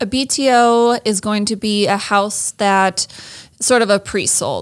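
The voice has ordinary pitch variation and a US Midwestern accent. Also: woman. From Iowa, US Midwest. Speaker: interior design manager. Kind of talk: interview. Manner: hesitant, frequent fillers.

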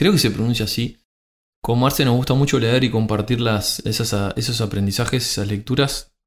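A man with a Uruguayan accent talks at a medium pitch with fairly even intonation. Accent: Uruguayan Spanish (rioplatense). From Uruguay, rural Montevideo. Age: 40s. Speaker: podcast co-host, systems engineer. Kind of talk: casual chat.

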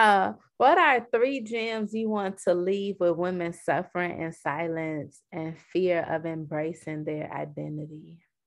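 A woman with an unremarkable speaking voice talks fairly slowly at a fairly low pitch, with lively intonation and hardly any pauses, against a quiet background. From US Midwest, south side of Chicago. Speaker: podcast host. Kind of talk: casual interview.

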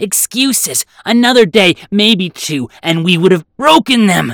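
A put-on character voice sits at a middle pitch. It moves along at a moderate pace. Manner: strident, accusing, outraged.

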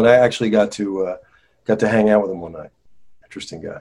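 A plain, everyday voice from a man with an American accent, fairly low in pitch, with ordinary pitch variation. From northern New Jersey. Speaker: actor and singer. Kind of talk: casual interview chat. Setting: video call.

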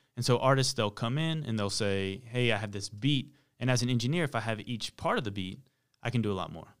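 A man speaks with an American accent in a normal speaking voice, at medium pitch with ordinary pitch variation and a fairly quick pace. The recording is very clean, with a silent background. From US South, Charlotte, North Carolina. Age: 30s. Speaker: music mixer and producer. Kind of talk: interview.

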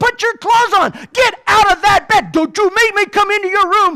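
A man with an American accent, his raised, projected voice animated and energetic, bright and sharp in tone. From US South. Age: 30s. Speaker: motivational speaker. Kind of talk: keynote talk. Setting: stage with audience.

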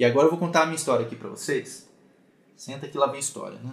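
This man's voice is somewhat breathy. He talks at a very fast pace. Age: 30s. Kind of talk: online mentoring talk. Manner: casual.

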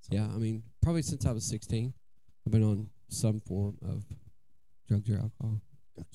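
Somewhat breathy, with a dark, mellow tone, the voice uses an American accent and ordinary pitch variation, broken by long, frequent pauses. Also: man, fairly low pitch for a man, moderate pace. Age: 40s. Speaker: recovering addict. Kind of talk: testimony.

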